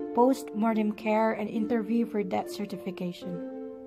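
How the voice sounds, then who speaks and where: Speech moves at a moderate pace with music in the background. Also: woman. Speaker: nurse. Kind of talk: spoken word poetry.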